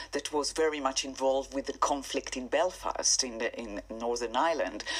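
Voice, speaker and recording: At a moderate pace, a woman speaks in an Israeli accent. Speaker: singer-songwriter. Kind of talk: radio interview.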